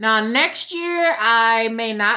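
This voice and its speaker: A woman with a fairly high pitch speaks with an American accent. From Louisiana, US South. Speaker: beauty vlogger. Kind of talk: product review tutorial. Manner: casual, animated.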